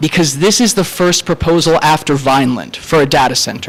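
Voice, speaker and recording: A man's high-pitched voice with lively intonation, against noticeable background noise. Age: 20s. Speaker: college student speaking at public comment. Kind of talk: public comment speech at town meeting.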